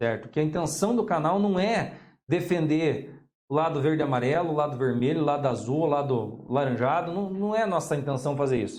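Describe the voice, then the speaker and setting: A man with a strong Paraná accent talks at a fairly quick pace and fairly high pitch, with ordinary pitch variation and very even loudness. Room echo is audible. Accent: strong Ponta Grossa (Paraná). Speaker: political science teacher and journalist. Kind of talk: interview. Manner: halting, with frequent repetitions.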